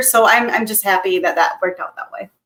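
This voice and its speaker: Speaking at a fairly quick pace, a woman with a Portuguese accent uses a medium pitch and ordinary pitch variation. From Brazil. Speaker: human resources professional. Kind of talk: interview. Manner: hesitant, many fillers and repetitions.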